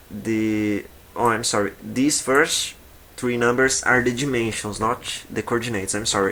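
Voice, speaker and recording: Fairly even in intonation, the voice unhurriedly proceeds at a fairly slow pace. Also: man. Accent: Portuguese. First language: Portuguese. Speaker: video game modding tutor. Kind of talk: tutorial. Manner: halting.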